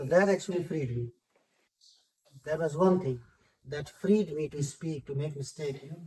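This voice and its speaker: A man speaks at a fairly high pitch and moderate pace, somewhat breathy, with a dark, mellow tone. His pitch variation is ordinary, and he leaves long, frequent pauses. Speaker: city councillor. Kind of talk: interview.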